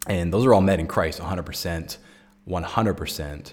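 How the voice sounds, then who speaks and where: A man speaks at a fairly quick pace in a very deep, low voice with ordinary pitch variation. His voice is somewhat breathy. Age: 30s. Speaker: recovery coach and podcast host. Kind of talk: solo podcast reflection.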